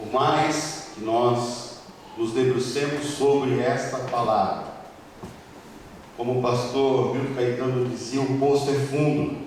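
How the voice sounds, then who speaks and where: The speech comes very slowly in a flat monotone, broken by long, frequent pauses, with noticeable background noise and audible room echo. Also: man, medium pitch for a man. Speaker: presbyter preaching in church. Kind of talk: sermon. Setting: church pulpit with microphone.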